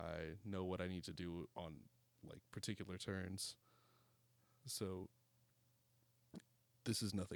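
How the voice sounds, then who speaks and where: The delivery is fairly slow, with long, frequent pauses. Intonation stays fairly even. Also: man, very deep, low pitch for a man. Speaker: gaming commentator and podcast co-host. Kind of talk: gameplay commentary. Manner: casual, frequent filler words.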